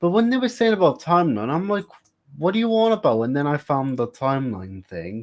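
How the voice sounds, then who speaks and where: Very wide pitch swings mark this fairly quick delivery in a British accent. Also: man, fairly high pitch for a man. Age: 20s. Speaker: live streamer. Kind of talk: casual chat.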